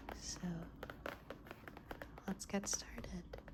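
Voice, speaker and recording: Soft-spoken and very slow, a woman talks over noticeable background noise. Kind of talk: ASMR show and tell, soft-spoken. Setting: indoors, close-mic ASMR.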